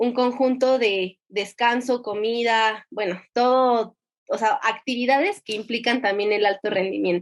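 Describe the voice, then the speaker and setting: A woman's fairly high voice at a fairly slow pace against a quiet background. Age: 20s. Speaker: competitive swimmer. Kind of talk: interview testimony. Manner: halting.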